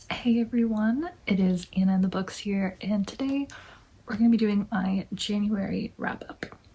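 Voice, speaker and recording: Noticeable background noise sits behind a soft-spoken voice that moves at a moderate pace with ordinary pitch variation. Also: woman, medium pitch for a woman. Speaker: book vlogger. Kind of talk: casual chat.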